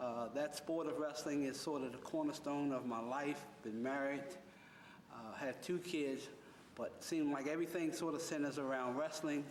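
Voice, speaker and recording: Someone with an American accent speaks at a moderate pace with fairly even intonation. Noticeable background noise and audible room echo fill the recording. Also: man, fairly high pitch for a man. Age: 60s. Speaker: wrestling coach and youth center director. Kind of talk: interview.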